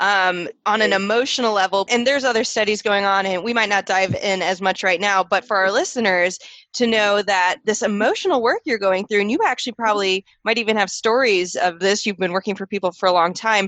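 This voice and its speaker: A woman with a normal speaking voice at medium pitch talks at a fairly quick pace with hardly any pauses, fairly even intonation and very even loudness. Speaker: podcast host, gut health therapist. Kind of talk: conversational interview question.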